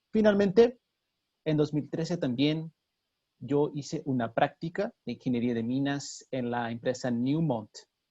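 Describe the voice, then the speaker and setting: Over a quiet background, a man with a dark, mellow tone speaks at a moderate pace in a Brazilian accent. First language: Portuguese (speaking Spanish). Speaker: mining engineer. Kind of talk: webinar presentation. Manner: halting.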